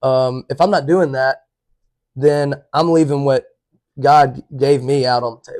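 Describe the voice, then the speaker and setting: In a dry, close sound with no echo, a man with an Alabama accent and a fairly high voice speaks at a fairly slow pace, with fairly even intonation, big swings in loudness, and long, frequent pauses. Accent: US Southern (Alabama). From Alabama, Chelsea. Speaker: college baseball player. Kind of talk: casual chat.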